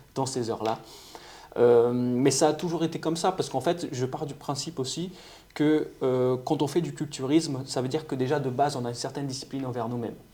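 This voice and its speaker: A man's dark, mellow voice, fairly high in pitch, at a fairly quick pace with fairly even intonation. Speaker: nutritionist and amateur bodybuilder. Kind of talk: podcast interview. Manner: hesitant, repeats words.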